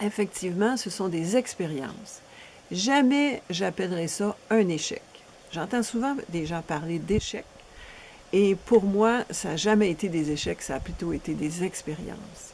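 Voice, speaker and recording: A woman with an unremarkable speaking voice, medium pitch and lively intonation, at a fairly slow pace. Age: 60s. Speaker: relationship coach. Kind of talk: promotional seminar presentation.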